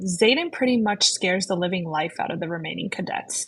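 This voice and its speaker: A woman speaks in a somewhat breathy voice. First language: not English. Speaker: book podcast co-host. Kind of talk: casual book discussion.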